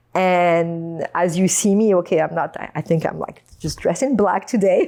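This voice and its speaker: A woman speaks with a French accent at a moderate pace. Her fairly low voice has a dark, mellow tone. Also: ordinary pitch variation. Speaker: podcast guest. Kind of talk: casual interview chat.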